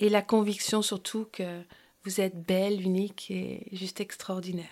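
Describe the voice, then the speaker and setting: A woman speaks at a fairly slow pace, recorded very cleanly against a silent background. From New York and Brittany, France. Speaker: naturopath and hypnotherapist, podcast host. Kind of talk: podcast monologue. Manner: hesitant, many fillers.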